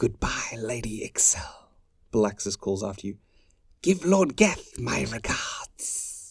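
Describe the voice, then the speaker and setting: A man whispers fairly slowly, putting on a character voice. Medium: read story.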